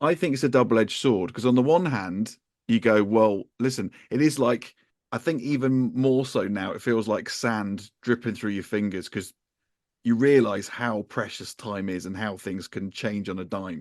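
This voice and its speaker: A man's plain, everyday voice, medium in pitch, with ordinary pitch variation. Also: moderate pace, quiet background. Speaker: podcast host. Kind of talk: casual podcast conversation.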